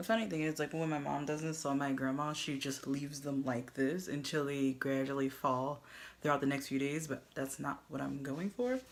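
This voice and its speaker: A soft-spoken woman's very deep, low voice at a moderate pace, with fairly even intonation. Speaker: beauty vlogger. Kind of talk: tutorial. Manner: casual.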